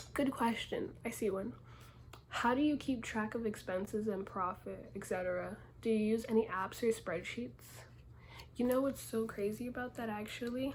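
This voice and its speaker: A woman speaks softly at a fairly high pitch. Her voice is somewhat breathy. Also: ordinary pitch variation, moderate pace. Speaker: small clothing brand owner. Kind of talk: casual Q&A vlog. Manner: soft-spoken; casual, conversational.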